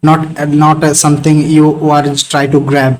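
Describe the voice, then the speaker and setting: In an Indian accent, a man speaks at a fairly slow pace and fairly high pitch. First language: Hindi. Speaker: networking instructor. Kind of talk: live online class discussion. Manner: halting, many fillers.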